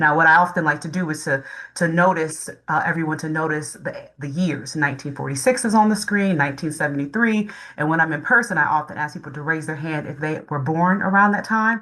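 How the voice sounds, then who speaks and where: Her voice very deep and low for a woman yet bright and sharp in tone, she talks at a fairly quick pace with ordinary pitch variation. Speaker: civil rights lawyer and state agency advisor. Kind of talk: presentation. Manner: fast.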